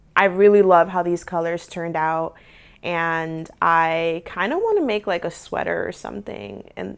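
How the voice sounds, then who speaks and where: A woman with a normal speaking voice and an American accent talks at a fairly slow pace with ordinary pitch variation, on a very clean recording with a silent background. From United States. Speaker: crafting YouTuber. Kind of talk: casual vlog tutorial. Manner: casual, filler-heavy.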